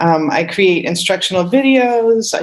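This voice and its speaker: With lively intonation and a moderate pace, a woman's voice comes through noticeable background noise. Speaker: high school music teacher. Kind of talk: public meeting presentation.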